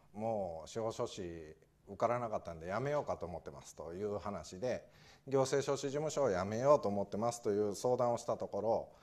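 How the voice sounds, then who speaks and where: Speaking at a fairly quick pace with ordinary pitch variation, a man's voice shows big swings in loudness. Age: 40s. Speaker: administrative scrivener; guest lecturer. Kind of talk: talk to audience. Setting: lecture hall with audience. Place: classroom.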